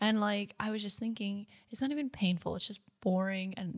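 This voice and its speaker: A woman with an American accent and a somewhat breathy voice. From United States. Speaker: podcast co-host. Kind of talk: casual chat.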